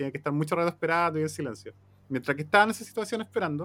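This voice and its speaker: A man's fairly high voice in a Chilean accent, with lively intonation. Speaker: podcast host. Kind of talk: casual chat.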